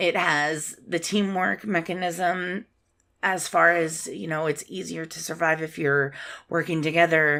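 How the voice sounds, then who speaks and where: On a very clean recording with a silent background, a woman speaks in a fairly low voice with fairly even intonation. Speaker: podcaster and gamer. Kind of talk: casual gaming podcast. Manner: soft-spoken, relaxed.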